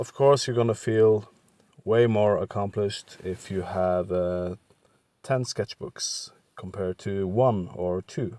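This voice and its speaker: A man speaks very slowly with a Norwegian accent, his pitch fairly low. The recording is very clean with a silent background, and the sound is dry and close with no echo. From western Norway. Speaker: art content creator. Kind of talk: tutorial. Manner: halting, with many fillers.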